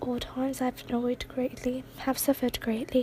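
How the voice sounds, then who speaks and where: Someone whispers in a soft-spoken way. Noticeable background noise sits behind the voice. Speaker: ASMR artist reading poetry. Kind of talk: poetry reading. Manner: soft-spoken, whispery.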